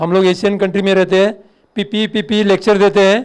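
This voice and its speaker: Speaking in a monotone, flat intonation, the man has a high pitch. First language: Marathi (speaking Hindi). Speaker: fire officer. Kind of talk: lecture.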